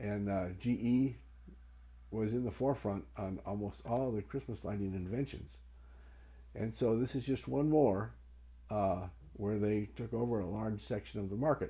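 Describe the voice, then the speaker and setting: With a dark, mellow tone and a somewhat breathy quality, a man speaks at a moderate pace, his intonation lively and his speech marked by long, frequent pauses. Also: fairly low pitch for a man. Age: 70s. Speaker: Christmas historian. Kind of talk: informal explanatory talk showing items. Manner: hesitant with frequent fillers.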